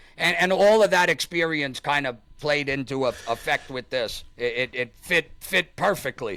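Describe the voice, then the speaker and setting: A man with a New York accent, fairly high in pitch, bright and sharp in tone, with lively intonation, a moderate pace and hardly any pauses, on a very clean recording with a silent background and a dry, close sound free of echo. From Staten Island, New York. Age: 40s. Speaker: YouTube content creator. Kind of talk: casual interview chat.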